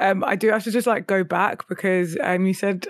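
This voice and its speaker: Vocal fry runs through a woman's medium-pitched voice as she speaks at a moderate pace. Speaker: content creator and podcast co-host. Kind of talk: casual chat.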